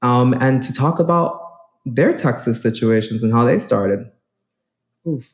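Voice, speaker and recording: Pausing long and often, a man speaks in a somewhat breathy voice at a medium pitch with ordinary pitch variation. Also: moderate pace. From New York City, South Bronx. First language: Spanish. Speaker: real estate agent. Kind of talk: conference talk.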